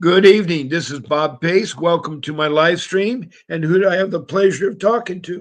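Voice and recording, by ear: A raspy man speaks at a moderate pace with a fairly high pitch and ordinary pitch variation.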